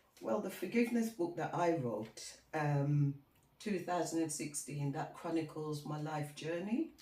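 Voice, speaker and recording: A woman's very deep, low voice, dark and mellow and somewhat breathy, with lively intonation at a fairly slow pace. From England, Birmingham (Handsworth), West Midlands. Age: 60s. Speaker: author. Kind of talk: podcast interview, personal testimony.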